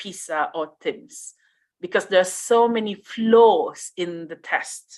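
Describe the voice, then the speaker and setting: With a Malaysian accent, a woman speaks with ordinary pitch variation. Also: quiet background. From Riau, Indonesia. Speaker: conference speaker. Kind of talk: conference Q&A answer. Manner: hesitant, many fillers.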